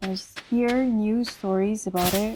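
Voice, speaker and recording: With a non-native accent, the voice has a dark, mellow tone and monotone, flat intonation. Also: woman. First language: not English. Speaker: solo podcaster. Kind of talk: casual monologue. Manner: hesitant, many fillers.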